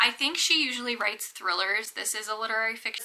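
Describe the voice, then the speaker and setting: A woman is whispering. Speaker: book vlogger. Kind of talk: casual vlog talk. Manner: casual, filler-heavy.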